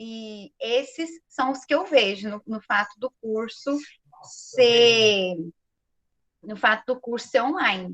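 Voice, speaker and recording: Her voice is high-pitched for a woman, and she speaks at a very slow pace. The sound is dry and close, with no echo. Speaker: physics undergraduate student. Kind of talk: panel discussion talk.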